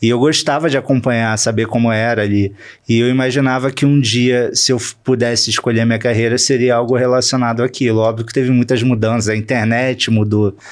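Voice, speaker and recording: In a flat, monotone delivery, the words come out at a fairly quick clip. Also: man. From Rio de Janeiro state, Volta Redonda and Niterói. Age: 30s. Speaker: entertainment journalist. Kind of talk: interview.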